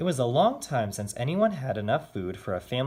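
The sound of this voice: An unforced reading voice carries the clip.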